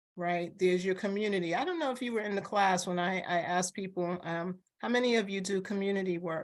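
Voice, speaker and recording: A woman's medium-pitched voice at a very fast pace, with ordinary pitch variation. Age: 60s. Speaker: retired law professor. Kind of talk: oral history interview. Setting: video call.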